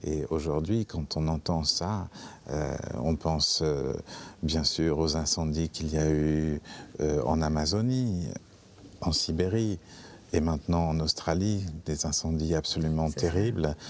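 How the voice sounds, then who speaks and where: Over noticeable background noise, a man with a very deep, low pitch speaks very slowly at very even loudness, with ordinary pitch variation and long, frequent pauses. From France. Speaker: theatre director. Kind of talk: interview. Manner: halting, many hesitations.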